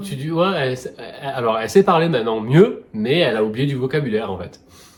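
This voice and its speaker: The speech comes at a fairly quick pace with lively intonation and big swings in loudness. The voice is somewhat breathy. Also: man, medium pitch for a man. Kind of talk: casual reaction talk.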